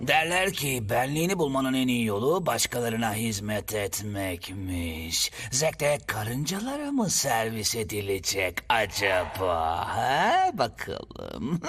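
A man does a cartoonish character voice at a medium pitch, keeping a fairly slow pace. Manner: mocking.

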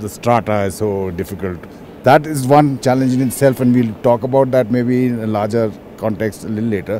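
At a fairly quick pace, a man speaks over light background noise. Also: dry sound with no echo. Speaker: defence journalist. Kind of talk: interview. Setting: outdoors. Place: open country.

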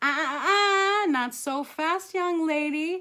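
A woman performs a put-on character voice at an extremely high pitch with a bright, sharp tone. She speaks at a slow pace with ordinary pitch variation.

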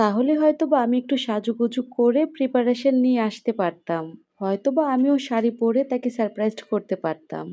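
Against a quiet background, a woman speaks in a high pitch. Her tone is dark and mellow. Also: ordinary pitch variation. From Bangladesh, Kishoreganj. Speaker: lifestyle vlogger. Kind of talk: vlog voiceover narration.

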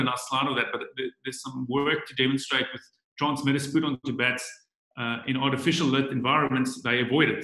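A man talks at a moderate pace against a quiet background. Audible echo fills the room. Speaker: biologist; guest. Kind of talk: online presentation. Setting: video call. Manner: halting, many fillers and repetitions. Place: home room. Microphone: webcam.

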